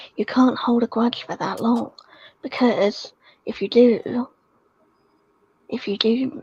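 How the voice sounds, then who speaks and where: Quiet and high-pitched, a woman speaks with a British accent at a fairly slow pace. Her intonation stays fairly even. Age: young. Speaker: livestream guest. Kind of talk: casual chat. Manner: quiet, hushed.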